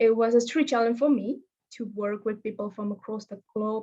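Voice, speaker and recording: Fairly high in pitch, a woman with a non-native accent speaks in a dark, mellow tone with fairly even intonation. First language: not English. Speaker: fellowship alumnus, veterinary professional. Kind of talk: webinar presentation. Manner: halting.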